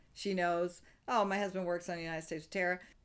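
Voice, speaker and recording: Here a woman with an American accent speaks at a very fast pace. Her pitch is fairly low and her intonation fairly even. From US South. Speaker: improv comedian and actor. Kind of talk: interview. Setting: remote interview.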